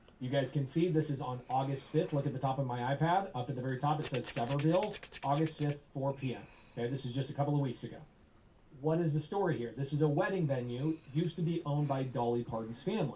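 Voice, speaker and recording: In a somewhat breathy voice, a man rattles off his words very fast. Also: fairly high pitch for a man, ordinary pitch variation. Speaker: real estate investor and coach. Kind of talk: live presentation to audience. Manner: animated.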